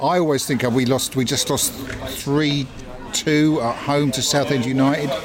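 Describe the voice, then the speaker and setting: A man with a fairly high pitch speaks in a flat monotone at a fairly slow pace. Noticeable background noise runs under the voice. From England, Southwick, Sussex. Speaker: punk poet and musician. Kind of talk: casual chat. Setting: pub.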